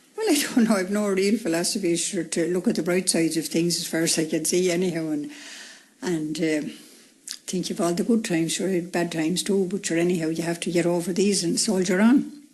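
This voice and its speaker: A fairly quick woman's voice, fairly low in pitch, with a Wexford accent and ordinary pitch variation. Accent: rural Irish (Wexford). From Ireland, County Wexford. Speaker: retired woman interviewed about her life. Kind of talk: radio interview.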